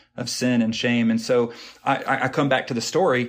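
This man has a medium-pitched voice. He talks with an American accent. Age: 30s. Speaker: worship director. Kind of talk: casual interview.

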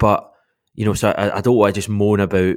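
On a very clean recording with a silent background, a man with a Glasgow accent speaks at a fairly low pitch. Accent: Scottish (Glasgow). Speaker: football fan podcaster. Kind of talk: casual chat.

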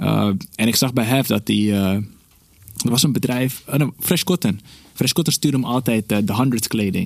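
At a moderate pace, a man with a medium pitch and vocal fry keeps his loudness very even. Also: lively intonation. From Netherlands, North Holland (village near Alkmaar). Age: 30s. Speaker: podcast guest. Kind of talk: casual chat.

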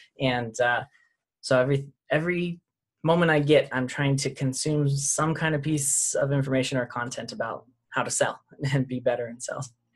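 This man has an American accent and a fairly high pitch. His voice is somewhat breathy, with fairly even intonation at a moderate pace. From Utah. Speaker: sales coach. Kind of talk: casual chat.

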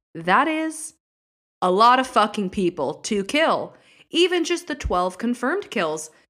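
With a bright, sharp tone and vocal fry, a woman at fairly high pitch talks in an animated way at a fairly slow pace, her pitch swinging very widely, on a very clean recording with a silent background. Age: 30s. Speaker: podcast host. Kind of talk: scripted storytelling, casual true crime narration. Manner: animated, chatty.

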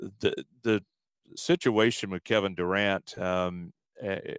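A man with a normal speaking voice and an American accent, fairly low in pitch with fairly even intonation, in a dry, close sound with no echo and a very clean recording with a silent background. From Alabama, US South. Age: 40s. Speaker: sports arena announcer. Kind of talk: interview.

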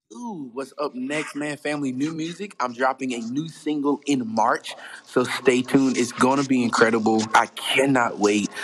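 Over noticeable background noise, a man with a medium pitch speaks with an American accent. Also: ordinary pitch variation, moderate pace. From US South, South Carolina, near Charleston. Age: 20s. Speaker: gospel singer. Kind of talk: interview, casual chat.

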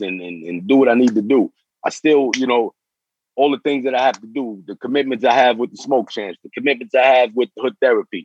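A man speaks at a medium pitch and a fairly quick pace, with a New York accent. The sound is dry and close, with no echo. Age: 40s. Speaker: former prisoner turned community mentor. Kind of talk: casual chat.

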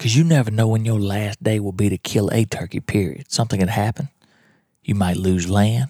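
Quiet and fairly low-pitched, a man with a Mississippi accent speaks at a fairly quick pace with a dark, mellow tone and ordinary pitch variation, the sound dry and close with no echo. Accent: Southern US (Mississippi). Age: 40s. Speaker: podcast host, turkey hunter. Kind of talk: casual monologue. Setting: at home in his trailer. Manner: kept down, quieter.

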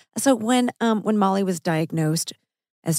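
Speaking at a moderate pace with vocal fry, a woman's pitch swings very widely in a dry, close sound with no echo. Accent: American. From Missouri. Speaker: podcast host and actress. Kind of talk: casual chat over a meal.

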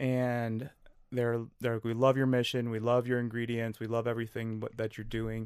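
A man talks at a fairly quick pace in a flat, monotone delivery with an Upper Midwest accent. His pitch is medium, and the recording is very clean with a silent background. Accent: Upper Midwest American. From western Wisconsin. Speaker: small business founder. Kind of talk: podcast interview.

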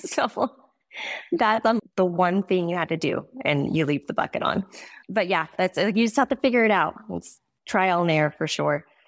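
With a plain, everyday voice, a woman speaks at a medium pitch and moderate pace with lively intonation, the sound dry and close with no echo in a very clean recording with a silent background. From Montana. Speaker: rodeo athlete's wife. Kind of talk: casual chat.

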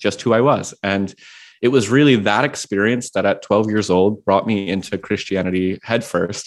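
In an ordinary speaking voice, a man talks at a moderate pace with an American accent and a fairly low pitch. His intonation stays fairly even on a very clean recording with a silent background. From Washington D.C., US. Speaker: progressive pastor and author. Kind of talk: interview conversation.

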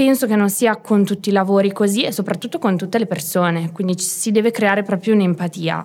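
Here a woman uses a plain, everyday voice at medium pitch with ordinary pitch variation. Her pace is fairly quick. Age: 20s. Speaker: small business owner, herbalist shop. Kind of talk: casual interview.

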